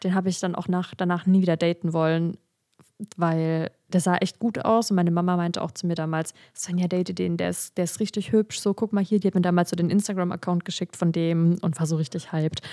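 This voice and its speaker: With a dark, mellow tone and a fairly low pitch, a woman speaks at a fairly quick pace in a dry, close sound with no echo. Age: 20s. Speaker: instagram creator and podcaster. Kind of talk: casual chat. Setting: video call. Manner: animated.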